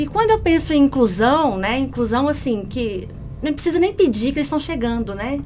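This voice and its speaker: There's audible room echo and noticeable background noise. A woman with a strong Minas Gerais accent speaks with lively intonation. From Minas Gerais, Brazil (Belo Horizonte). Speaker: customer service manager. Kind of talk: podcast interview.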